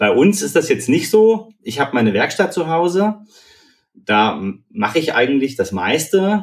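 A fairly slow delivery with very wide pitch swings. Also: man. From Eisenach area, Thuringia, Germany. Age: 30s. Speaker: startup co-founder, hardware developer. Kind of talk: casual interview.

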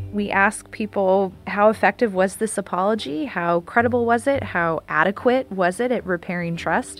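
A woman speaks at a moderate pace in an unremarkable speaking voice, with medium pitch and ordinary pitch variation. She takes hardly any pauses. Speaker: professor. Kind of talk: expert explanation. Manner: formal.

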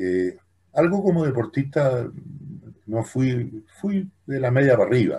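A man's somewhat breathy voice at medium pitch, fairly slow, with very wide pitch swings, big swings in loudness and a dark, mellow tone. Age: 70s. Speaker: former Olympic committee president and lawyer. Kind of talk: interview conversation.

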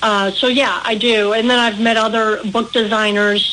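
Spoken at a fairly slow pace with a Midwestern accent, the voice has a monotone, flat intonation over noticeable background noise. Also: woman. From Midwest US, Milwaukee. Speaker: author. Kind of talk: radio interview.

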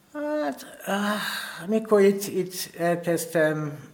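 A man speaks at a very slow pace with a strong non-native accent. The room has audible echo, and there is noticeable background noise. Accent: strong foreign accent in Hungarian. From Kenya, then England and Wales from age 8. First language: English (speaking Hungarian). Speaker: painter. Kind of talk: interview. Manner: halting, many fillers.

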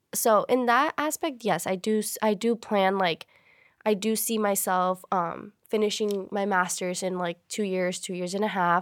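A woman's normal speaking voice, medium in pitch, with ordinary pitch variation and a fairly slow pace, in a dry, close sound with no echo on a very clean recording with a silent background. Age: 20s. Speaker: recent college graduate, fitness enthusiast. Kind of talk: casual chat.

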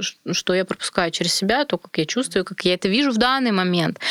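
In a dry, close recording with no echo, a woman with a normal speaking voice talks at a medium pitch with ordinary pitch variation. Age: 20s. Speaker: internet marketer. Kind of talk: casual chat. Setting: studio.

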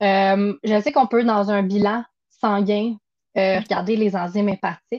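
Very slowly, a woman with a Quebec accent speaks at a medium pitch with fairly even intonation. The sound is dry and close, with no echo. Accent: Québécois French. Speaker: nutritionist. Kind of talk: casual interview.

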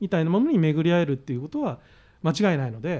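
A man's high-pitched, dark, mellow voice with lively intonation in a very clean recording with a silent background. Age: 50s. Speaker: author. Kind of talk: casual chat.

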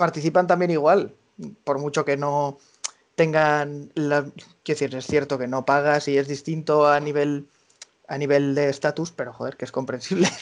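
With monotone, flat intonation, a man speaks at a moderate pace and a fairly high pitch. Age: 20s. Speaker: association collaborator. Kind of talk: interview. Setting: remote call.

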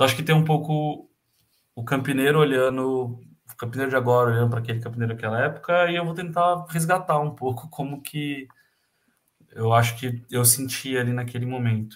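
A man talks fairly quickly in a somewhat breathy voice, his pitch varying in an ordinary way. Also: medium pitch for a man. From Brazil, Campinas (São Paulo state). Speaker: handball coach. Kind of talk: casual interview.

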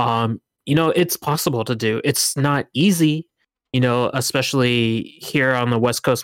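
On a very clean recording with a silent background, a man with an American accent speaks in a plain, everyday voice at a medium pitch, with fairly even intonation and a fairly slow pace. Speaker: tournament organizer. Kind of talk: casual chat.

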